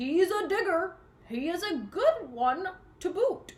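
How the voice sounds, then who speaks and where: Loud and extremely high-pitched, a woman performs a put-on character voice. She goes at a fairly slow pace. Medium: read story. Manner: loud, yelling pirate talk.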